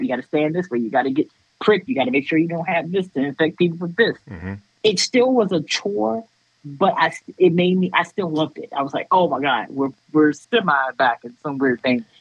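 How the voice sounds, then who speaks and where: A woman's very deep, low voice with very wide pitch swings, at a very fast pace. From Washington D.C. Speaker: music photographer. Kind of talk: casual interview.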